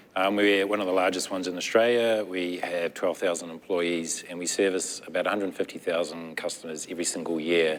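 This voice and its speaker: The speaker, with a New Zealand accent, moves at a fairly quick pace with fairly even intonation and hardly any pauses. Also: man, very deep, low pitch for a man. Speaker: nonprofit technology executive. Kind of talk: panel discussion.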